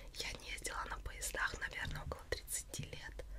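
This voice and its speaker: Moderate-paced speech over loud background noise. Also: woman. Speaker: ASMR channel host. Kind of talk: casual vlog chat. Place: home room.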